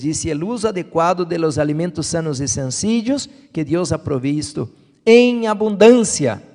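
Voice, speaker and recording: With a dark, mellow tone, a man speaks at a moderate pace while his pitch swings very widely. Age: 60s. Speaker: health preacher. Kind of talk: sermon.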